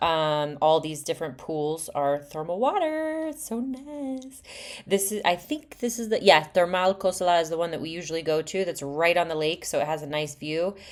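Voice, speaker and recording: A woman's fairly low voice at a moderate pace, lively in intonation, with hardly any pauses. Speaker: real estate agent. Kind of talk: property tour narration. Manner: halting, many fillers; casual, chatty.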